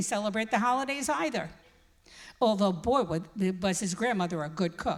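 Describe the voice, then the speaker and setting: With a New York accent, a woman talks at a moderate pace. Her fairly high voice has lively intonation. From New York City, the Bronx. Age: 80s+. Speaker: congregant speaker, retired teacher. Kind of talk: personal testimony speech.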